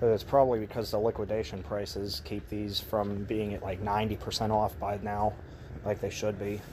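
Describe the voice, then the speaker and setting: A man talks in a plain, everyday voice, fairly low in pitch with fairly even intonation. His pace is moderate, with light background noise. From Texas. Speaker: retail store vlogger; store walkthrough vlogger. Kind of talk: casual walkthrough vlog narration. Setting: outdoors and inside a closing store. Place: shop. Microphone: phone near.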